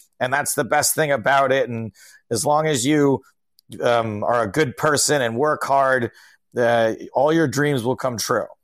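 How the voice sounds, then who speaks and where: In an ordinary speaking voice with an American accent, a man speaks at a medium pitch, a fairly slow pace and with fairly even intonation. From upstate New York (Albany). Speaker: stand-up comedian and poker commentator. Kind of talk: casual chat. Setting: video call.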